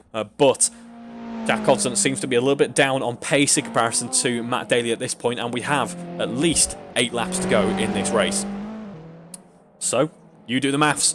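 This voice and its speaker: Mumbling with lively intonation at a moderate pace, a man with a British accent speaks at a medium pitch, leaving long, frequent pauses while music plays in the background. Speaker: sim racing commentator. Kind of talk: live commentary. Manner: animated.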